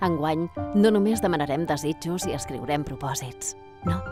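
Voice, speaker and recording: With music in the background, a woman's voice swings very widely in pitch at a moderate pace. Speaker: voice actor. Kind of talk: corporate narration. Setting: professional home studio.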